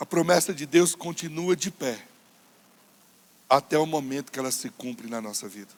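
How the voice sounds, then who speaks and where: A man's fairly high voice at a moderate pace, with lively intonation, big swings in loudness and long, frequent pauses. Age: 40s. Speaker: pastor. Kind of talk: sermon.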